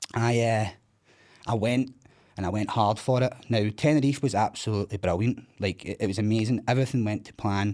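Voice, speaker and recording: Speaking with a Scottish accent, a man talks at a fairly quick pace and medium pitch, with big swings in loudness. The recording is very clean, with a silent background. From Scotland, East Kilbride. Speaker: recovering addict sharing his story. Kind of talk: podcast interview, personal testimony. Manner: animated.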